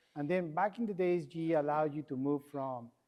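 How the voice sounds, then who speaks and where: Over a quiet background, a man with a strong Mexican accent talks at a moderate pace and a fairly high pitch with ordinary pitch variation. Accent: thick Mexican Spanish. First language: Spanish. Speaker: AI and distribution expert. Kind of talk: conference panel presentation.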